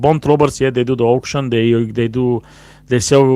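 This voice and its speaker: A man with a non-native accent, medium pitch, and fairly even intonation. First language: not English. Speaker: cigar show host, cigar lounge worker. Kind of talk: live stream casual talk. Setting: live stream, no proper mic. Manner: halting, many fillers.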